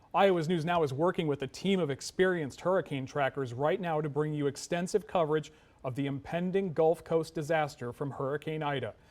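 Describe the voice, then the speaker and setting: Speaking at a fairly quick pace with hardly any pauses, a man uses a plain, everyday voice, fairly high in pitch with fairly even intonation. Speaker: TV news anchor. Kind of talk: television newscast anchor read.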